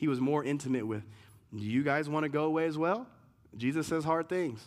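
On a very clean recording with a silent background, a man uses an ordinary speaking voice at a fairly high pitch, with ordinary pitch variation and a moderate pace. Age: 40s. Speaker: pastor. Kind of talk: sermon.

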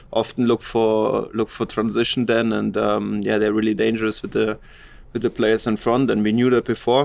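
Speaking with a German accent, a man with a medium pitch keeps a moderate pace and monotone, flat intonation on a very clean recording with a silent background. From Germany. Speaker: professional footballer. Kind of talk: interview.

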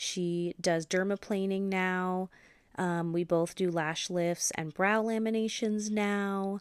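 A woman at medium pitch with an American accent, very slow pace and monotone, flat intonation, in a very clean recording with a silent background and a dry, close sound with no echo. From US Pacific Northwest, Washington State. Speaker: esthetician and podcast host. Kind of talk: solo podcast monologue.

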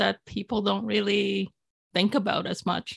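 A woman's fairly high voice with vocal fry, at a moderate pace, in a dry, close sound with no echo. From Philippines, raised in Canada. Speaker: novelist. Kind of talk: casual interview.

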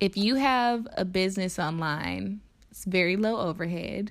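At a fairly slow pace, a woman talks in a normal speaking voice with a fairly low pitch and ordinary pitch variation. The recording is very clean, with a silent background. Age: 20s. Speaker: podcast host and yoga teacher. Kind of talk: solo podcast monologue. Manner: casual, conversational.

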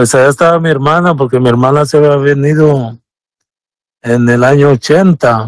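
A man's fairly high voice at a fairly slow pace, fairly even in intonation and very even in loudness, in a dry, close sound with no echo. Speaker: immigrant father telling his story. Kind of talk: personal testimony. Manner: reserved, few words. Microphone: shares Bluetooth with wife, sounds a bit far.

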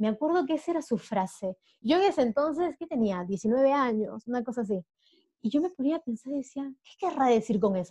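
A woman with a high pitch and a dark, mellow tone speaks at a fairly quick pace, her pitch swinging very widely. Her loudness rises and falls sharply, and the sound is dry and close with no echo. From Peru. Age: 30s. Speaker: diving instructor and traveler. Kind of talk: interview conversation.

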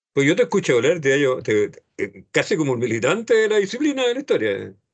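Spoken with a Chilean accent, the voice moves at a fairly quick pace with very wide pitch swings. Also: man. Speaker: radio host. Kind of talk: radio interview.

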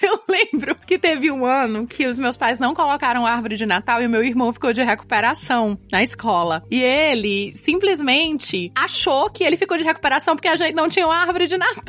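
A woman speaks at a fairly quick pace with hardly any pauses, her high voice swinging very widely in pitch while her loudness stays very even over noticeable background noise. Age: 30s. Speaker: podcast co-host, educator and writer. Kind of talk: casual chat.

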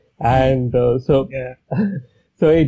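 At a moderate pace, a man with a medium pitch and a dark, mellow tone speaks with fairly even intonation and a somewhat breathy sound. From India, Chennai. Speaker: herpetologist. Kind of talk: interview.

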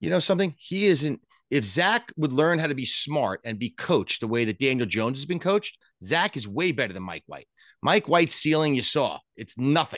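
In a New York accent, a man talks at a fairly quick pace with a fairly high pitch, vocal fry, very wide pitch swings and big swings in loudness. The sound is dry and close, with no echo. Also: quiet background. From Long Island, New York. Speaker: sports betting podcast co-host. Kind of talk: casual chat. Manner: animated.

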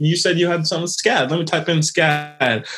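A man with an American accent and fairly high pitch talks at a moderate pace over noticeable background noise. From Quebec, Canada, raised mainly in the US. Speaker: illustrator. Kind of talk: interview.

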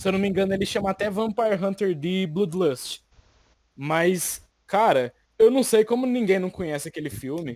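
The speech has lively intonation and moves at a moderate pace. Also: man, high pitch for a man. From Brazil, rural Minas Gerais. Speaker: manga Instagram creator. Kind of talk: casual chat.

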